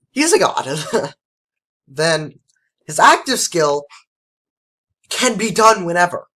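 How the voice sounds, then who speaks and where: Using a raised, projected voice, a man speaks very slowly at a high pitch, with very wide pitch swings and long, frequent pauses. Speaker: gaming video creator. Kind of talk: casual game commentary. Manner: casual with filler words.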